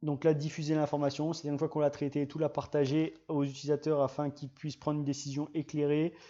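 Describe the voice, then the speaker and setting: Very fast and with hardly any pauses, a man speaks in a dark, mellow, fairly high-pitched monotone. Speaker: GIS trainer and channel host. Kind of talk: live-streamed tutorial. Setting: live stream. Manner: halting, many restarts and fillers.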